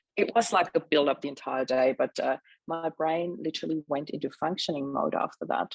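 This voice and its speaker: A woman with a German accent speaks in a very deep, low voice with ordinary pitch variation. The sound is dry and close, without echo. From Austria. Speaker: mindset mentor. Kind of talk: interview testimony. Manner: fast.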